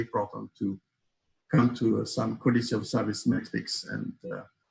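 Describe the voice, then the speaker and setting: A man speaks at a moderate pace in a French accent. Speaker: accessibility expert panelist. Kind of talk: panel discussion. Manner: halting, many fillers.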